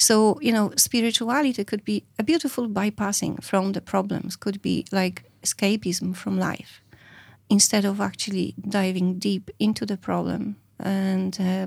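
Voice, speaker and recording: With a Polish accent, a woman talks at a moderate pace in a medium-pitched, somewhat breathy voice, her intonation fairly even, on a very clean recording with a silent background. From Poland. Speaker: psychedelic therapy practitioner. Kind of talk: interview conversation. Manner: halting.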